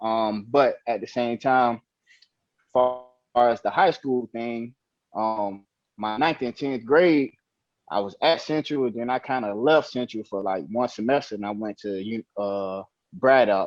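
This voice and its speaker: A man with a plain, everyday voice talks at medium pitch with ordinary variation, the sound dry and close with no echo over a quiet background. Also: fairly slow pace. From Miami, Florida. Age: 30s. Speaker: former football player. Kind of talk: casual interview. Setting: phone call.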